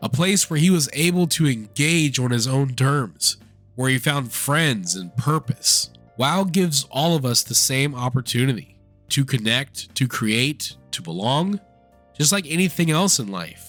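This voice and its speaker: With music in the background, a man with a fairly high pitch talks at a fairly slow pace with lively intonation. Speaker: legally blind gamer. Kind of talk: gaming video essay to camera.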